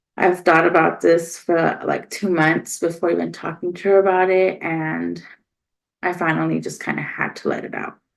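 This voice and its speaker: A woman mumbles at a moderate pace. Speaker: podcast host. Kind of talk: personal monologue. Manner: mumbling.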